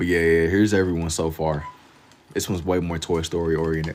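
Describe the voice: A man speaks at a moderate pace. His pitch is low.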